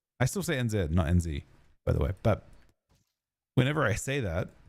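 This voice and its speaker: A fairly low-pitched man with lively intonation on a very clean recording with a silent background. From New Zealand. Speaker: streamer. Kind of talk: gaming livestream chat. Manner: casual, halting.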